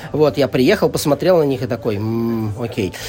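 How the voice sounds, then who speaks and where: Over music in the background, the speaker moves at a moderate pace with lively intonation. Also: man. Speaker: board game publisher marketing director. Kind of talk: casual interview. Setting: board game festival venue. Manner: talkative.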